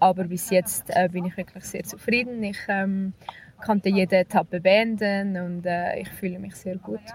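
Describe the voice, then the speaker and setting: A woman at medium pitch with monotone, flat intonation, moderate pace and big swings in loudness, amid noticeable background noise. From Switzerland. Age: 20s. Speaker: professional cyclist. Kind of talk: interview.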